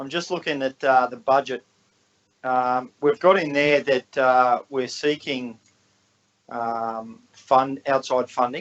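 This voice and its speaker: A man with an Australian accent mumbles at a very slow pace, his pitch medium and his intonation ordinary in its variation. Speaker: councillor. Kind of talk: council meeting questions. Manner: halting, mumbling.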